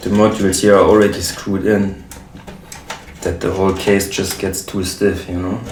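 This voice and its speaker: A man with a German accent at a fairly low pitch and moderate pace, monotone and flat, with noticeable background noise and audible room echo. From Germany. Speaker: modular synth musician and YouTuber. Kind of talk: casual talk while building gear. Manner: halting, many fillers.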